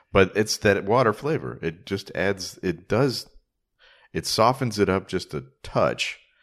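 A man with an American accent speaks fairly slowly at a fairly low pitch, with vocal fry and lively intonation. The recording is very clean, with a silent background. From Chicago. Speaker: author and podcaster. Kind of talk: casual chat. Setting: recorded in a holiday rental.

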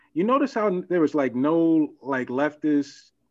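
A man's voice with fairly even intonation. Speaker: panelist and YouTube commentator. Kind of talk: casual panel discussion.

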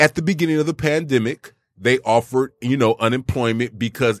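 An unremarkable speaking voice from a man at medium pitch, fairly quick in pace with lively intonation, dry and close with no echo, on a very clean recording with a silent background. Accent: American. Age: 40s. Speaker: podcast co-host. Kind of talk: casual chat.

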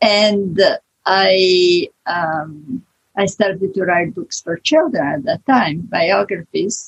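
A woman with an Italian accent speaks at a very slow pace, her voice medium in pitch and somewhat breathy. Her pitch varies in an ordinary way, and the sound is dry and close with no echo. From Italy. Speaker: author. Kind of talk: interview.

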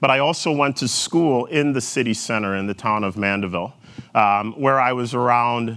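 This man talks with a Minnesotan accent and ordinary pitch variation. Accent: Minnesotan vowels, elongated O's. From rural Jamaica, Manchester Parish. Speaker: corporate executive. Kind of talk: keynote talk. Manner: energetic.

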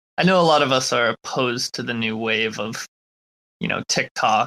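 A man with an unremarkable speaking voice at a moderate pace, in dry, close sound with no echo. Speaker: crypto space host. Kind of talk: casual chat. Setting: online audio room.

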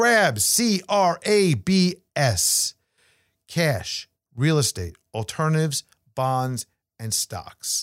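A man with a New York accent speaks very slowly at a fairly high pitch, with very wide pitch swings and long, frequent pauses. The recording is very clean with a silent background and a dry, close sound with no echo. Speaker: financial podcast host and investment advisor. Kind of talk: casual monologue on finance.

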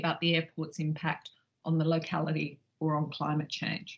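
A woman with an Australian accent speaks at a moderate pace in a somewhat breathy voice. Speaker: professor of law. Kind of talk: scripted educational talk.

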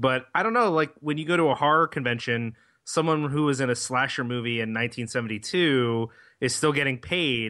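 A man speaks at a fairly quick pace with ordinary pitch variation and a medium pitch. It is an ordinary speaking voice. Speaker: podcast co-host. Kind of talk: casual chat.

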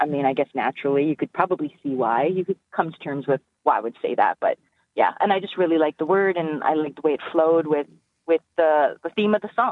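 A woman talks at a very fast pace with a very deep, low pitch and ordinary pitch variation. Her loudness swings in a big way. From northern Alberta, Canada. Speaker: R&B singer. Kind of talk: casual interview. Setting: phone call.

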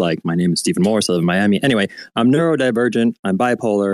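A man speaks at a fairly low pitch with ordinary pitch variation in an ordinary speaking voice. The sound is dry and close, with no echo. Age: 30s. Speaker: photographer and artist. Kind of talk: casual chat. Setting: online audio room.

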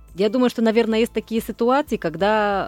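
Over a silent background in a very clean recording, a woman with a Polish accent speaks at a medium pitch. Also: dry, close sound with no echo. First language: Polish (speaking Russian). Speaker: foreign TV correspondent. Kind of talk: radio interview discussion. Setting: studio. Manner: halting.

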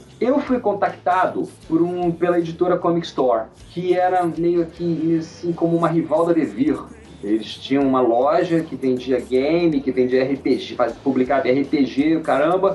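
A man's high-pitched voice, fairly slow and very even in loudness, with ordinary pitch variation and music in the background. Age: 50s. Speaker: writer. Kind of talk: casual interview.

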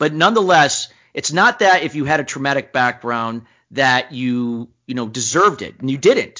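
A man's energetic voice at a moderate pace, fairly high in pitch, with lively intonation. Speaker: business coach and speaker. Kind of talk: interview.

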